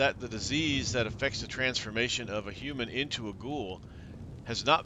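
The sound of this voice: Pitch shifts in an ordinary way. The delivery is an unforced reading voice.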